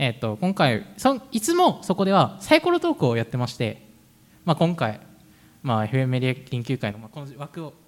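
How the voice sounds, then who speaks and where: This man's fairly high voice moves at a fairly quick pace with lively intonation. His loudness swings widely from moment to moment. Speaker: student radio host. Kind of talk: live radio chat. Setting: public live broadcast at a festival.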